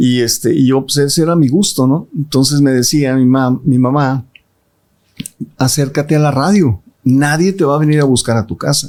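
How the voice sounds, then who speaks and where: At a moderate pace, a man with a fairly high pitch and ordinary pitch variation speaks in a plain, everyday voice. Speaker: radio announcer. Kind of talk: interview answer.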